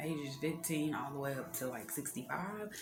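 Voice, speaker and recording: With music in the background and audible room echo, a woman speaks in a very deep, low pitch with lively intonation. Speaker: beauty entrepreneur and vlogger. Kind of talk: tutorial. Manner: casual, with many filler words.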